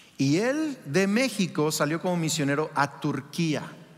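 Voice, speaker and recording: A man speaks with a fairly high-pitched voice. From Mexico. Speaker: pastor. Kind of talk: sermon. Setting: church with congregation. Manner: animated.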